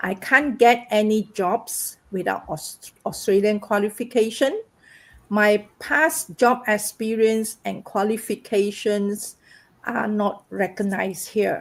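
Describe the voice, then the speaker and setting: Speaking very slowly with a non-native accent, a woman uses a fairly high voice and ordinary pitch variation. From Malaysia. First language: not English. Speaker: massage therapist and online business owner. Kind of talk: personal testimony in live panel. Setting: livestream.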